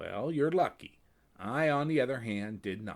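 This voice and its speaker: In a put-on character voice, the speaker delivers lines at a moderate pace in a sing-song way. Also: man. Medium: read story. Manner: sing-songy.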